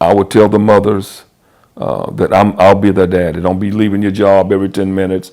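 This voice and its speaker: A man with an American accent talks at a fairly quick pace in a fairly low pitch. His tone is dark and mellow, and his intonation stays monotone and flat. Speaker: football coach and teacher. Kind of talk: casual chat.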